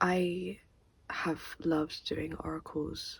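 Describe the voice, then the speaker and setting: The voice belongs to a woman. She is soft-spoken. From United Kingdom. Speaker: tarot and oracle card reader. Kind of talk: intro talk to camera.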